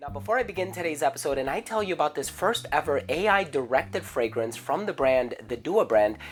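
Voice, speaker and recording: Music plays in the background. The speech runs at a fairly quick pace with hardly any pauses. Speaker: fragrance reviewer. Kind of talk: product review.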